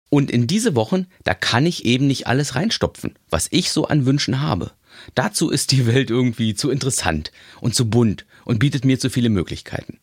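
The speaker has lively intonation and vocal fry, keeping a moderate pace and very even loudness, in a very clean recording with a silent background and a dry, close sound with no echo. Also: man, medium pitch for a man. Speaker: podcast host. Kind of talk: inspirational monologue.

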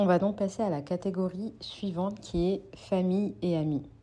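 The tone is dark and mellow, the intonation fairly even. The pace is fairly slow. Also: woman. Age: 20s. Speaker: podcast host. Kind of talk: solo monologue podcast. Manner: halting.

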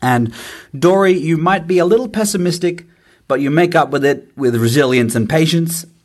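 With a fairly high pitch, a man talks at a moderate pace, his intonation lively. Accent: Australian. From Australia. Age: 30s. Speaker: listener leaving voicemail. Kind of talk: voicemail.

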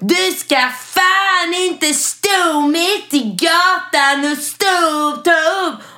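Shouting in a put-on character voice at an extremely high pitch, with hardly any pauses and light background noise. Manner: yelling, aggressive.

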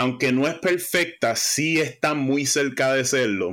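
A man speaks at a very slow pace. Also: very clean recording, silent background. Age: 40s. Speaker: music podcast contributor. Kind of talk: casual chat.

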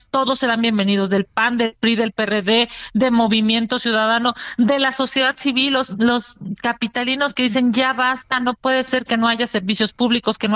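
A woman with a Mexico City accent speaks at a moderate pace, her fairly high pitch carried by fairly even intonation. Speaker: politician. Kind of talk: interview.

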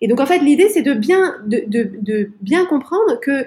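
Speaking very slowly, a woman with a high pitch and a dark, mellow tone makes very wide pitch swings. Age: 40s. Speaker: life coach and podcaster. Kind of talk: interview. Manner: halting.

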